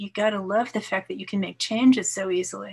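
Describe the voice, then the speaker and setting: A woman with an American accent speaks at a moderate pace in a fairly high, somewhat breathy voice with fairly even intonation. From New York. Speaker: poet and retired English professor; poet, retired English professor. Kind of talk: casual interview with poetry readings. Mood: warm, relaxed. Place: home room. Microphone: video call.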